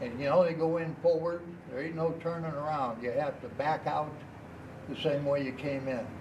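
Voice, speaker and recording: Speaking at a moderate pace, a man uses a fairly high pitch and fairly even intonation. The room echo is audible, and background noise is noticeable. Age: 60s. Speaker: Vietnam war veteran. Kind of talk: interview testimony.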